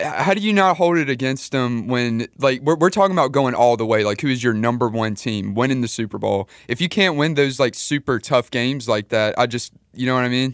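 A man's unremarkable speaking voice at medium pitch, lively intonation and hardly any pauses, on a very clean recording with a silent background. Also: fairly quick pace. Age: 20s. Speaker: radio producer and co-host. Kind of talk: sports talk radio.

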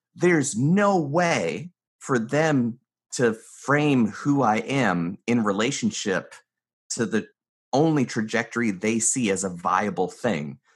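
Very wide pitch swings mark a man's speech in an American accent. He talks at a very slow pace against a quiet background. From US South, North Carolina mountains. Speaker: mentalist and business consultant. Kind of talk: interview conversation.

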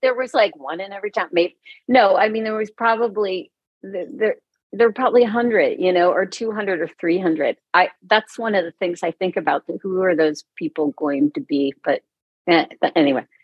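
With lively intonation, a woman speaks at a medium pitch in an ordinary speaking voice. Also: moderate pace. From Cincinnati, Ohio. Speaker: musician and visual artist. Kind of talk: interview.

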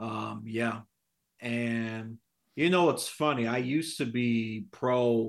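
On a very clean recording with a silent background, a man speaks at a medium pitch in a New York accent. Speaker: podcast guest, history buff. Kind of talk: casual political chat.

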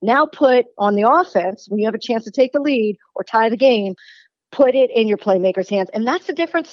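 Using an unremarkable speaking voice, a woman talks at a fairly quick pace with lively intonation and a fairly high pitch. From Baltimore, Maryland, US. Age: 40s. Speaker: sports radio host and former baseball reporter. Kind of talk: sports talk radio interview.

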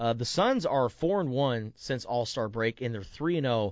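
A man's normal speaking voice, medium in pitch, at a fairly slow pace. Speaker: sports radio host. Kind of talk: casual sports talk radio. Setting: radio studio.

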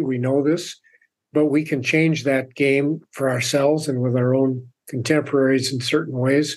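Fairly even intonation in a plain, everyday voice. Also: man. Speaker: author and purpose coach. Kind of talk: interview. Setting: remote call from home.

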